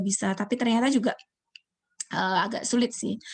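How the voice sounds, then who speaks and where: Speaking at a very fast pace, a woman with a fairly high, somewhat breathy voice keeps her intonation fairly even. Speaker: university lecturer. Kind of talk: online lecture.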